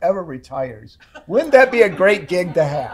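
Somewhat breathy, a man speaks with very wide pitch swings. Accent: American. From US Midwest, Ann Arbor, Michigan. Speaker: university government relations executive, former politician. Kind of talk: seminar talk.

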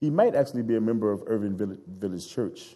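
A man speaks at a medium pitch with a dark, mellow tone and lively intonation. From Chicago South Side. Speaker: guest preacher and anti-racism organizer. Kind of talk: sermon.

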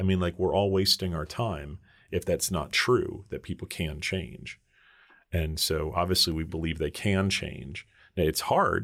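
With an American accent, a man speaks at a very deep, low pitch and ordinary pitch variation. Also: very clean recording, silent background. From New York. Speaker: podcast host, mental health professional. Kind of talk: interview podcast.

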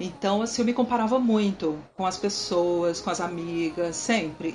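A woman's medium-pitched voice, lively in intonation and moderate in pace, over noticeable background noise. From Brazil, Brasília. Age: 30s. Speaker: military police sergeant and church worship leader. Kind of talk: casual interview.

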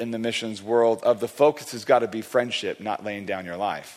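At a moderate pace, a man with an American accent talks in a medium pitch with fairly even intonation, an ordinary speaking voice. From California. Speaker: guest preacher. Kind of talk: sermon. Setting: church.

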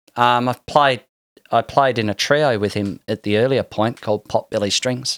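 A man's medium-pitched voice with an Australian accent, dry and close with no echo. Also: fairly even intonation, moderate pace, very clean recording, silent background. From Tasmania, Australia. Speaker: musician. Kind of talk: casual chat. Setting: studio.

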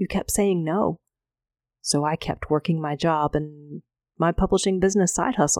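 With a plain, everyday voice, a woman speaks at a fairly low pitch and moderate pace, showing ordinary pitch variation in a dry, close sound with no echo. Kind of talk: fervent personal prayer spoken aloud to God. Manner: earnest, heartfelt, pleading; conversational, sincere, warm.

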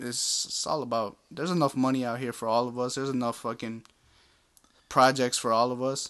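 A man with an ordinary speaking voice speaks at a medium pitch with fairly even intonation. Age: 20s. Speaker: podcast guest, father. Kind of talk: casual chat.

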